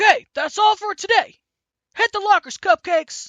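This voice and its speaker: A put-on character voice, gruff and at an extremely high pitch. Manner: gruff, barking, commanding.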